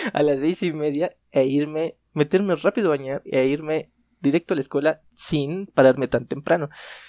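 Dry and close with no echo on a very clean recording with a silent background, a man with a fairly high pitch and a dark, mellow tone talks at a moderate pace with fairly even intonation. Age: 20s. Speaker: podcast co-host. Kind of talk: casual chat.

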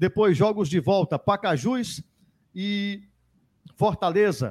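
Speaking at a very slow pace, a man uses lively intonation. The sound is dry and close with no echo, in a very clean recording with a silent background. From Ceará interior, Brazil. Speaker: sports radio host. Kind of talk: sports talk show. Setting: studio, live radio and YouTube.

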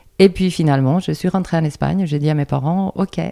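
Recorded with a dry, close sound and no echo, a woman in a Spanish accent speaks at a fairly quick pace with a fairly low, dark, mellow voice and fairly even intonation. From Andalusia, Spain. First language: Spanish (speaking French). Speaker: dance teacher. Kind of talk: interview.

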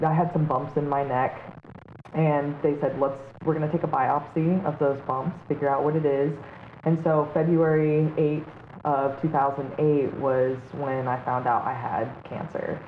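Over noticeable background noise, a woman with a very deep, low pitch talks at a fairly slow pace in a monotone, flat intonation. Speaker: drone pilot and yoga teacher. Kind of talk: casual interview chat.

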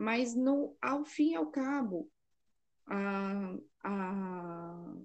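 This woman's voice has a dark, mellow tone and lively intonation. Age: 30s. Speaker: psychologist and mother of seven. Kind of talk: casual chat. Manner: halting.

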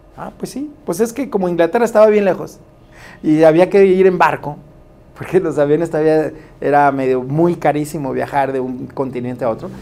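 A fairly high-pitched man speaks at a moderate pace with lively intonation, leaving long, frequent pauses. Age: 50s. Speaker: DJ and lawyer. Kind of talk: radio interview. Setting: studio.

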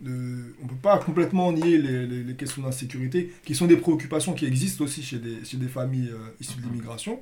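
A man at a medium pitch and fairly quick pace, with ordinary pitch variation, big swings in loudness, audible room echo and music in the background. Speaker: podcast host and moderator. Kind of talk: political roundtable discussion.

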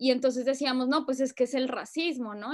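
High-pitched female speech, fairly even in intonation. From Colombia, Bogotá. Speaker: writer and activist. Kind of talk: casual chat.

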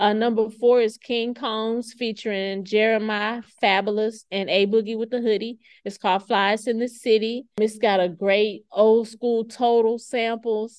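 A fairly high-pitched woman with an American accent, a fairly slow pace, hardly any pauses and a monotone, flat intonation. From US South. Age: 40s. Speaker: podcast host and library staff. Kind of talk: casual solo chat. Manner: laid-back.

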